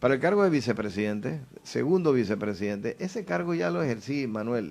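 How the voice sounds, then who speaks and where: A man with a medium pitch talks at a fairly quick pace, his pitch swinging very widely over a quiet background. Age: 60s. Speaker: politician. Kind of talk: interview.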